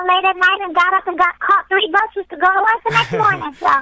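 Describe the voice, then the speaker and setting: A raised, projected voice moves at a fairly quick pace with fairly even intonation and a dry, close sound with no echo. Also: woman. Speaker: singer. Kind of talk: interview answer.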